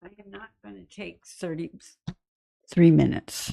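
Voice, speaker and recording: Very slowly, a woman with a fairly low pitch, a dark, mellow tone and vocal fry speaks with very wide pitch swings, the sound dry and close with no echo. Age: 70s. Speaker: retired resident, public commenter. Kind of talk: public comment at council meeting.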